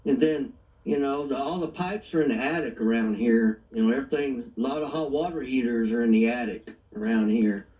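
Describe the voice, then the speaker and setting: With an American accent, a man uses a normal speaking voice at medium pitch, talking at a fairly quick pace with ordinary pitch variation. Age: 60s. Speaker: channel owner, prepper. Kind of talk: casual chat.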